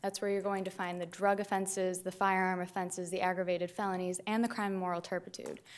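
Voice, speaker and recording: Very fast and with hardly any pauses, a woman speaks at a medium pitch with monotone, flat intonation. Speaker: prosecutor. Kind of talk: appellate oral argument. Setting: courtroom. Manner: formal. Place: hall. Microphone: podium.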